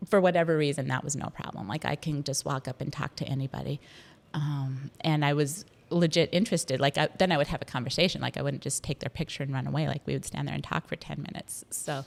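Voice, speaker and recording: A woman talks at a very fast pace with a very deep, low pitch and vocal fry. Her intonation stays fairly even. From North Dakota. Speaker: food and news writer. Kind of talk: podcast interview.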